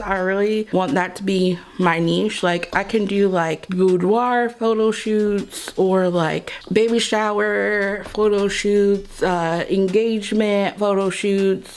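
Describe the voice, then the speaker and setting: A woman speaks at a very slow pace. Noticeable background noise is heard behind her. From Kentucky, Louisville. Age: 30s. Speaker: beauty vlogger. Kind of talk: casual chat.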